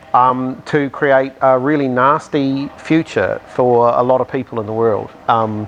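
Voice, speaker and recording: Over noticeable background noise, a man with a New Zealand accent talks with fairly even intonation. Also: medium pitch for a man, fairly slow pace. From New Zealand, Southland. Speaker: climate scientist, professor. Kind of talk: interview. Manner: hesitant, many fillers.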